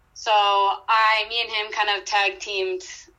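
Very slow, medium-pitched woman in an American accent, bright, sharp tone and fairly even intonation. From Michigan, Grand Rapids. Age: 30s. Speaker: college sports information director. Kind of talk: interview conversation.

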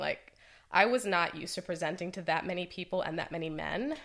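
Speaking with a New York accent, a woman with a fairly low pitch and a bright, sharp tone uses ordinary pitch variation in a very clean recording with a silent background. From New York, the Bronx. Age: 40s. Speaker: realtor, former creative director. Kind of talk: casual interview.

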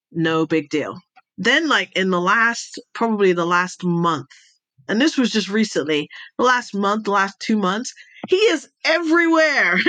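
A woman with an American accent speaks at medium pitch and a fairly slow pace, her bright, sharp tone making very wide pitch swings at a very even loudness. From Jamaica, raised Middle East, Europe, US. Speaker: intelligence advisor and speaker. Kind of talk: interview conversation.

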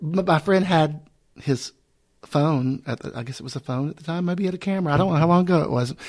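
The speaker goes at a very fast pace with ordinary pitch variation and big swings in loudness. The recording is very clean, with a silent background. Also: man, fairly high pitch for a man. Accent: Southern US. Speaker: drag performer and podcast host. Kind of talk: casual chat.

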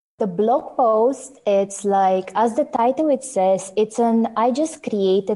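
In a Bulgarian accent, the speaker goes at a very slow pace with a dark, mellow tone and ordinary pitch variation. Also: woman, hardly any pauses, very even loudness. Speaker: software developer. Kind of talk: casual interview.

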